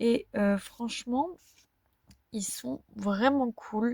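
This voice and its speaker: Very slowly, a woman speaks in a dark, mellow, somewhat breathy tone with a dry, close sound and no echo. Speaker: vlogger. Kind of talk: casual vlog talk to camera. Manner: hesitant, many fillers.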